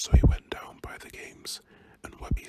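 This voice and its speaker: A man with a British accent is whispering over noticeable background noise. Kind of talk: audiobook reading. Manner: whispered.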